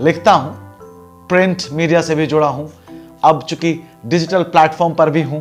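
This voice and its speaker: With music playing behind him, a man speaks in a fairly high pitch and fairly even intonation, leaving long, frequent pauses. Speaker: radio jockey and anchor. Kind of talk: casual talk to camera.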